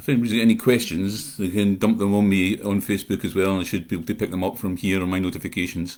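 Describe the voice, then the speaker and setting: A man with a Scottish accent talks at a very fast pace with hardly any pauses and fairly even intonation. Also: fairly low pitch for a man. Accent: Scottish, unchanged. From Scotland, North Ayrshire. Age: 60s. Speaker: horror writer. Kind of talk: live chat monologue. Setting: livestream. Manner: rambling with filler uh.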